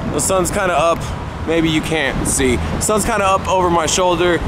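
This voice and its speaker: With noticeable background noise behind him, a man talks at a moderate pace. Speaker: vlogger. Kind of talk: casual vlog chat. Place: street. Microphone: phone near.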